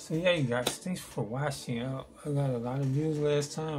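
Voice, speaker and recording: Noticeable background noise runs beneath this man's voice, and the room echo is audible. His delivery moves at a moderate pace. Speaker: vlogger. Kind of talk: casual vlog monologue. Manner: halting.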